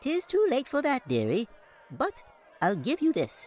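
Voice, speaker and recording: Using a squeaky, put-on character voice at an extremely high pitch, a man speaks at a moderate pace. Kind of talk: archaic, old-fashioned.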